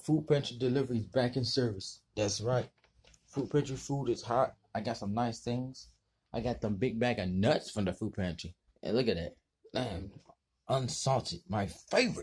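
A man, somewhat breathy, with ordinary pitch variation and a moderate pace. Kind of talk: casual vlog chat. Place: garage. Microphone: phone near.

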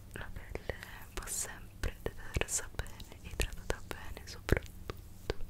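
A soft-spoken woman is whispering at a very slow pace. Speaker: beauty content creator. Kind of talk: soft-spoken ASMR-style skincare tutorial. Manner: soft close-mic ASMR whisper. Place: home room.

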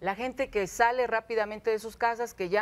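A woman talks at a fairly quick pace in a normal speaking voice. Her pitch is fairly high. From Mexico City, Iztapalapa; Mexico City. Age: 50s. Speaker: local politician. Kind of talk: studio interview. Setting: TV studio with audience. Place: studio. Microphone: lapel.

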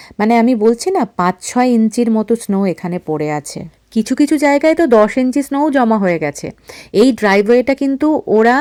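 With very wide pitch swings, a woman's fairly high, dark, mellow voice comes through in a dry, close sound with no echo. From India. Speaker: vlogger. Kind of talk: vlog narration.

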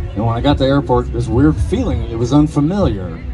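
A man's very deep, low voice at a fairly quick pace, with clear music in the background. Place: stage. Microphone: handheld.

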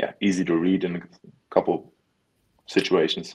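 The speaker has a German accent. The pace is moderate. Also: man. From Germany, Berlin; Germany. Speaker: American football player; guest. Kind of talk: interview. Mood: relaxed, earnest. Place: home room. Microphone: video call.

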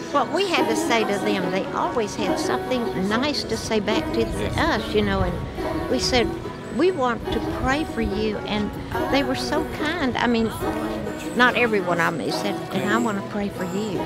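Loud music plays behind a woman with an American accent. She speaks at a moderate pace, and the sound is dry with no echo. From Texas. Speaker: prison ministry volunteer. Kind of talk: interview answer. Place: open country. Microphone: phone near.

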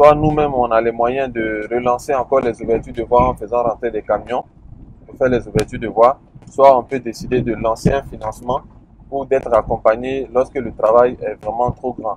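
Against light background noise, a man speaks at a moderate pace in a monotone, flat intonation, with a dry sound and no echo. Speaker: land plot tour guide. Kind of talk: casual commentary. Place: car. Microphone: phone near.

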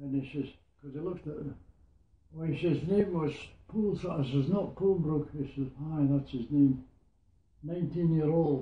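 A man talks with long, frequent pauses and fairly even intonation. His voice is somewhat breathy, and the room echo is audible. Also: moderate pace. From Scotland, Hawick in the Borders; Scotland. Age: 90s. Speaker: war veteran. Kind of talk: interview storytelling. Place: home room. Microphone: camera far.

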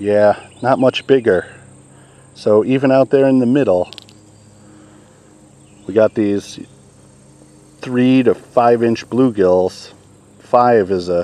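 A man talks at a very slow pace with long, frequent pauses and ordinary pitch variation. The sound is dry, with no echo. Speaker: fishing vlogger. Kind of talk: casual vlog chat. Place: waterside. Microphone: camera far.

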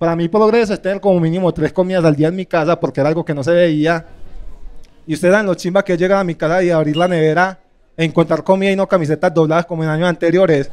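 A man with a Medellín accent, high-pitched and animated, at a very fast pace. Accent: paisa (Medellín) Colombian. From Medellín, Colombia. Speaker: stand-up comedian. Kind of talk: stand-up comedy set, roast target, dark humor about race. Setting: stage with audience. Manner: animated, rapid-fire punchlines with pauses for laughs. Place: stage. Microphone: handheld.

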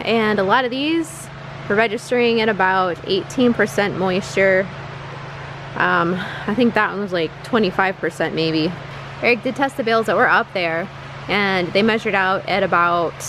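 The sound is dry with no echo yet carries noticeable background noise, as the speaker goes at a fairly slow pace with ordinary pitch variation. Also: woman. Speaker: farmer vlogger. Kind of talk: casual vlog chat. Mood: matter-of-fact, slightly rueful. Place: farm machine. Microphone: phone near.

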